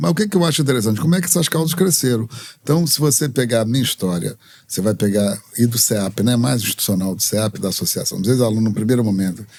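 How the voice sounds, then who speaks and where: A man speaks at a very fast pace. His medium pitch swings very widely. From Brazil, Rio de Janeiro. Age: 70s. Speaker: activist and religious leader. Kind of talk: interview.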